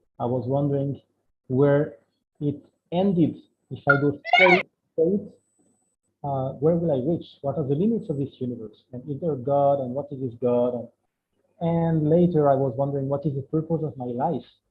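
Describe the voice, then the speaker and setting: A man with a French accent speaks at a moderate pace, fairly high in pitch with ordinary pitch variation. He leaves long, frequent pauses. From France. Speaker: spiritual speaker. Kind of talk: online talk. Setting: video call. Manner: halting.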